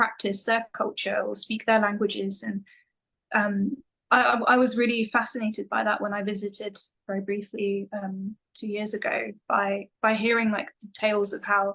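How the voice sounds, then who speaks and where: A woman at a medium pitch with an English accent and monotone, flat intonation. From England, London then countryside. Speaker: metal vocalist. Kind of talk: interview.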